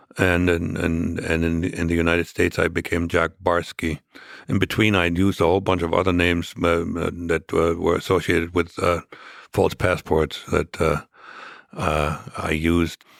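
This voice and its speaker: A man with a German accent speaks in a very deep, low pitch with monotone, flat intonation and very even loudness, in a very clean, dry, close recording with a silent background and no echo. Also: moderate pace. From East Germany. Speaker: former spy. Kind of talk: interview. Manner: halting, many fillers.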